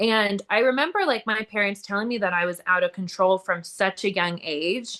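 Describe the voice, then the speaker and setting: Loud delivery in a bright, sharp tone, moderate pace, hardly any pauses, and ordinary pitch variation. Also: woman, medium pitch for a woman. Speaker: recovering addict and entrepreneur. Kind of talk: interview testimony.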